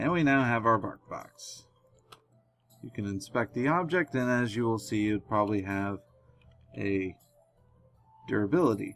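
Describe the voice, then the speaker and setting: A man's medium-pitched voice with lively intonation at a moderate pace, long, frequent pauses and music in the background. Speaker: gaming tutorial youtuber. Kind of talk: tutorial. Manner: soft-spoken, quieter than usual.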